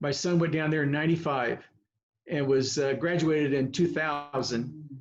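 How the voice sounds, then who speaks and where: At a moderate pace, a man with a US Midwestern accent talks in a fairly high pitch. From Kansas (Girard, southeast). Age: 70s. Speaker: veteran coach. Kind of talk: casual chat. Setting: video call.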